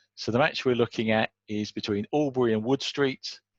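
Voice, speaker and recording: Over a quiet background, a man with a normal speaking voice talks at a moderate pace with fairly even intonation, the sound dry and close with no echo. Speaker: cricket scoring tutor. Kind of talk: tutorial.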